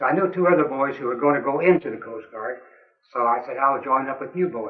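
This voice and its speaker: Talking very fast, a man with a fairly high pitch uses ordinary pitch variation and big swings in loudness. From US Midwest, Springfield, Missouri (Ozarks). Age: 80s+. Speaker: war veteran. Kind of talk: oral history interview.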